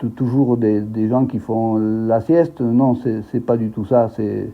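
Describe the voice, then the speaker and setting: A man at medium pitch, very slow in pace, with fairly even intonation. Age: 60s. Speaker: expatriate teacher. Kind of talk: interview. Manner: halting, many repetitions and hesitations.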